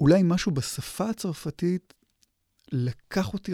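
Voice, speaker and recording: In a very clean recording with a silent background and a dry, close sound with no echo, a man with a dark, mellow tone speaks fairly slowly with lively intonation. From Israel, Hadera. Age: 40s. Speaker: literature professor. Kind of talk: interview. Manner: halting.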